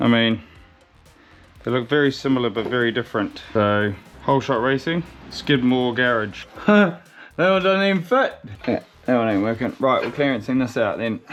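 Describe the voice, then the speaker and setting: Music plays in the background as the speaker moves at a moderate pace with long, frequent pauses. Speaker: car builder / mechanic vlogger. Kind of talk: casual workshop vlog. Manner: animated.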